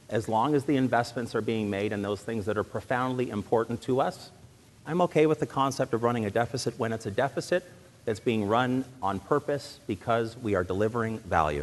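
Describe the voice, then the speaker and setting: A man with a Canadian accent talks at a fairly quick pace with lively intonation and medium pitch, in an unremarkable speaking voice. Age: 40s. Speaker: political candidate. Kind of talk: political debate. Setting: stage with audience.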